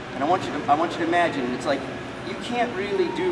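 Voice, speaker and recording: The man talks at a very fast pace. Noticeable background noise is present. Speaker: martial arts instructor. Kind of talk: teaching explanation during a seminar. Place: hall. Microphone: camera far.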